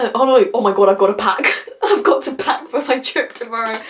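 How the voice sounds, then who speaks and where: A woman speaks fairly quickly, her intonation lively, while noticeable background noise runs underneath. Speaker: book vlogger. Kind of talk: casual vlog chat. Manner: fast.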